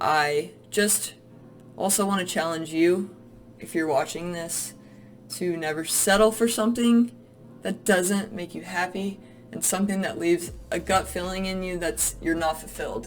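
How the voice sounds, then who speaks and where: With music in the background, a woman with an American accent speaks at a moderate pace in a fairly low voice with ordinary pitch variation. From US South. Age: 20s. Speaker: real estate agent. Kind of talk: casual vlog monologue. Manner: animated.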